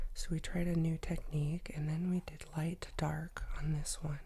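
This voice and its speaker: A woman whispering at a very slow pace, somewhat breathy. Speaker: art tutorial youtuber. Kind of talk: tutorial. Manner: casual, chatty. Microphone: professional USB microphone.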